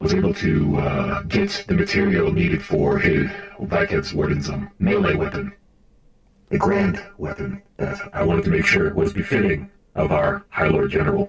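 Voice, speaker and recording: There is a slight echo as a man puts on a character voice. He speaks at a moderate pace. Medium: game stream. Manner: hesitant, filler-heavy, measured.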